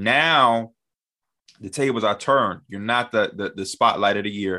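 A man's ordinary speaking voice with an American accent, fairly low in pitch, at a moderate pace. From Chicago. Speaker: basketball media personality. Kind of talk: casual chat.

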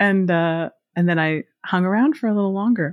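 A woman's plain, everyday voice in an American accent, fairly quick in pace with ordinary pitch variation. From Pittsburgh, Pennsylvania. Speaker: news show writer. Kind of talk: casual interview.

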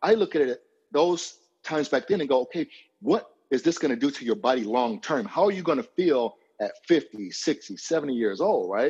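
An animated man at a fairly high pitch, with vocal fry, very wide pitch swings and a moderate pace, over a quiet background. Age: 40s. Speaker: fitness coach. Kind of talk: casual interview.

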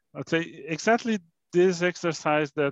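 A man with a Portuguese accent talks at a fairly slow pace with ordinary pitch variation, in a dry, close sound with no echo. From Brazil. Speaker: fintech company CEO. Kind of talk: interview. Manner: halting, repeats words.

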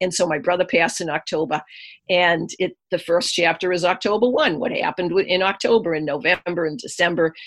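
At a fairly quick pace, a woman speaks in a fairly low pitch. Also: ordinary pitch variation. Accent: Boston. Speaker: energy healer and author. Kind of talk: interview.

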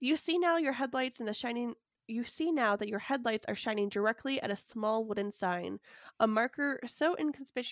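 Playful in tone, a woman speaks at a high pitch with ordinary pitch variation. The recording is very clean, dry and close, with no echo and a silent background. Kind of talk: bedtime or ghost story telling, reading aloud a second-person adventure tale. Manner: narrates in a hushed, spooky storyteller tone, eerie and suspenseful; slips into playful character voices and laughs at flubs.

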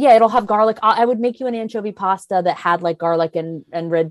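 A woman speaks at a medium pitch with lively intonation in a plain, everyday voice, the sound dry and close with no echo. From US Maryland. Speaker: actress. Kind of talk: casual chat.

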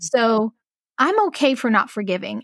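In a normal speaking voice, a woman talks at a fairly high pitch and a moderate pace, with a dry, close sound with no echo on a very clean recording with a silent background. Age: 40s. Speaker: abuse survivor. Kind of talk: casual chat.

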